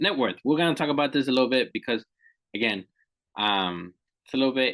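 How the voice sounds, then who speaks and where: Speaking at a very fast pace, a man uses vocal fry and lively intonation. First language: not English. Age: 30s. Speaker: financial educator. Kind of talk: lecture. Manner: conversational, repetitive emphasis.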